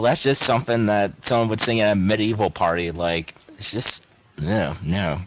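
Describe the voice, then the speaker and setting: A man with an American accent at a fairly slow pace, amid noticeable background noise. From Ohio, US. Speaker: podcast guest, gamer. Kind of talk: casual chat. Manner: animated.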